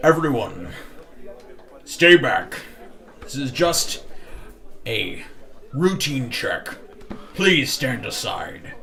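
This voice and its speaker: A man puts on a character voice with a fairly high pitch, talking at a very slow pace with long, frequent pauses. Clear background noise sits behind him. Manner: authoritative, commanding.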